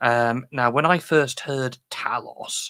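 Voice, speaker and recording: A man with a British accent, bright and sharp in tone, dry and close with no echo. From UK. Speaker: software developer giving conference talk. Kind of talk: technical talk. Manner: casual, hesitant with fillers.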